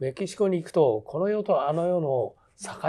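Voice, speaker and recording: A man's high-pitched voice with a dark, mellow tone and ordinary pitch variation. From Japan, Hitachi (Ibaraki); Ibaraki, Japan. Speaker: theatre director and teacher; teacher. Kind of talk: interview conversation. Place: studio.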